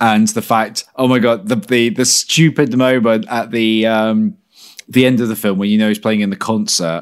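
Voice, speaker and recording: Recorded very cleanly against a silent background, a man with a London accent speaks at a moderate pace and medium pitch, with lively intonation. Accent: British English, London. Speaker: film podcast host. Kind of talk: casual chat. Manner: animated, laughs often.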